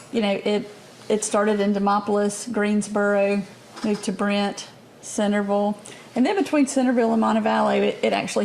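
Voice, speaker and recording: A woman with an Alabama accent talks at a fairly quick pace over noticeable background noise. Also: very even loudness. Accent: Southern US (Alabama). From US South, Alabama (Bibb County). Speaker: state politician. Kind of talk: interview.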